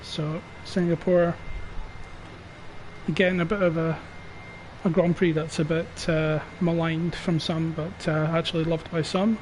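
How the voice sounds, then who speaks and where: A quiet, high-pitched man with a British accent, monotone and flat at a moderate pace, with long, frequent pauses and noticeable background noise. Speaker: sim racing league streamer and commentator. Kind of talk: live commentary. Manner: quiet, subdued.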